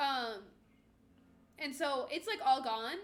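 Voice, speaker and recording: A woman's high-pitched, bright, sharp voice at a fairly slow pace, with a slight northern US accent. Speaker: streamer co-host. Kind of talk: casual chat.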